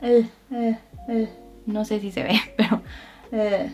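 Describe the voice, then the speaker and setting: Someone speaks in a Mexican accent while music plays in the background. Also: woman. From Mexico. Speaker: Spanish teacher. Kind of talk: tutorial. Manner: slow, clear enunciation.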